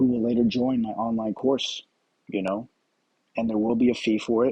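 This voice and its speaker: Mumbling at a fairly quick pace, the speaker has a dark, mellow tone in a dry, close sound with no echo. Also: man. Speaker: spiritual vlogger. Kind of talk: casual monologue vlog.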